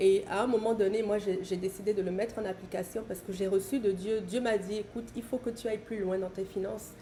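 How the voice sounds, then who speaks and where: Her delivery comes at a fairly quick pace. The woman's intonation is monotone and flat. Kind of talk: bible teaching on live stream. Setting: live stream. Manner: fast.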